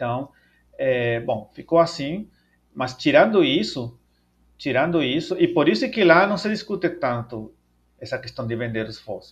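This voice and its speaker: This man's fairly high voice swings very widely in pitch, broken by long, frequent pauses. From El Salvador. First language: Spanish (speaking Portuguese). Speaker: paleontologist and professor. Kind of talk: interview. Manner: halting, many fillers.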